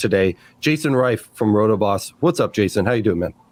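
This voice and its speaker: A man's pitch varies in an ordinary way while music plays in the background. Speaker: podcast host. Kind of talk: casual chat.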